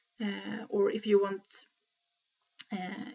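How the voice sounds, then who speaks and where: A woman's medium-pitched voice with a Swedish accent. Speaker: knitting podcaster. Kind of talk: casual video podcast talk. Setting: at home in living room. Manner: hesitant, many filler sounds.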